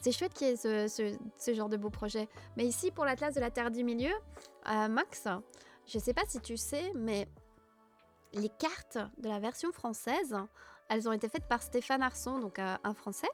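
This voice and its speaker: A woman speaks softly in a calm tone at a fairly high pitch, with ordinary pitch variation and a moderate pace. Her long pauses come often, and music plays in the background. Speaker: Tolkien fan streamer. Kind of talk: casual livestream talk to chat. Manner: soft, calm.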